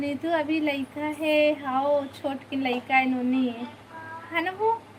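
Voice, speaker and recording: Against noticeable background noise, a woman talks in a high voice with fairly even intonation. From Chhattisgarh. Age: 50s. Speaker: vlogger. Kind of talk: live stream chat. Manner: casual.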